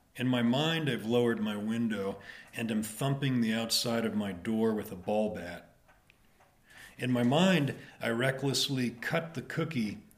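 A man with an American accent speaks in a normal speaking voice at a medium pitch, at a fairly slow pace with ordinary pitch variation. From Dayton, Ohio. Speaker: poet and farrier. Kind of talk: interview conversation. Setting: at home.

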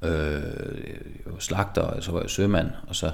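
With a Jutlandic accent, a man speaks at a fairly slow pace in a very deep, low pitch, with audible room echo. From Denmark, Jutland (Skive). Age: 30s. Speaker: artist. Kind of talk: interview. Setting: studio workshop. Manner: halting, many repetitions and fillers.

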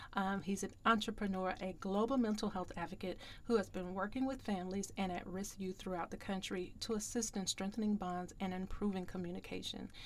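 Here a woman with an unremarkable speaking voice talks at a fairly quick pace. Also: medium pitch for a woman, fairly even intonation, hardly any pauses. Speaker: podcast host and grief coach. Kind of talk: podcast interview.

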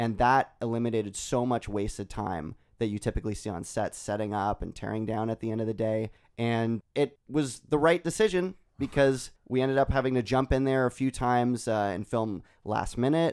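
Using a normal speaking voice, a man speaks at medium pitch and moderate pace. His pitch varies ordinarily, and the sound is dry and close with no echo. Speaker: filmmaker. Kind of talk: casual chat.

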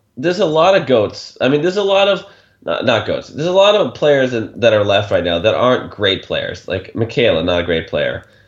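At a moderate pace, a man's voice makes very wide pitch swings. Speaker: podcast co-host. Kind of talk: casual chat recapping a TV show.

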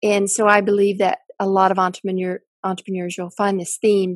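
At a moderate pace, a woman with a Southern US accent talks, the sound dry and close with no echo. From US South, Mississippi. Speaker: tech company founder and CEO. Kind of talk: interview.

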